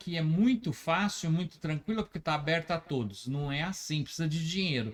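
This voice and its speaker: A man with a high-pitched voice. His intonation is lively. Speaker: web radio host. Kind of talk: casual interview chat. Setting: radio studio. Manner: halting, with many fillers.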